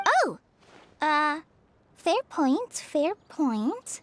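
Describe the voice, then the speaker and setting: A put-on character voice from a woman, high-pitched with very wide pitch swings, the sound dry and close with no echo. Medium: video game. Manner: timid, hesitant.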